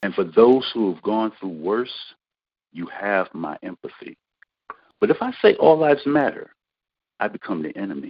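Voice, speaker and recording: A man with an American accent speaks at a moderate pace. He leaves long, frequent pauses. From US, Rochester, New York. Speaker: poet. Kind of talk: spoken word poetry.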